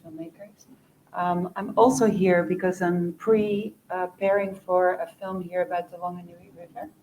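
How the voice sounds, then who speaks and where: With a Dutch accent, a woman speaks at a moderate pace and medium pitch, showing ordinary pitch variation and big swings in loudness. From Netherlands. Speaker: documentary producer. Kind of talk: panel discussion.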